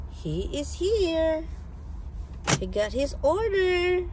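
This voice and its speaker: Noticeable background noise and audible room echo surround a woman who talks at a very slow pace. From Philippines. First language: Tagalog/Bisaya. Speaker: vlogger. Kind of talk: casual vlog chat.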